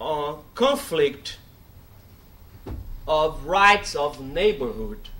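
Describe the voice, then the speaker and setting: With a Brazilian Portuguese accent, a man speaks in a high, bright, sharp voice with very wide pitch swings. He talks at a very slow pace with long, frequent pauses, and there is audible room echo. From Brazil, Bahia. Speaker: law professor. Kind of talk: lecture.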